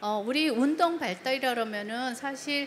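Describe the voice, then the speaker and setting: A woman with a non-native accent uses lively intonation, and audible room echo can be heard. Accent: non-native Korean, heavy English loanwords. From South Korea, emigrated to US in childhood. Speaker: developmental pediatrician. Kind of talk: lecture. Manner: halting, many fillers.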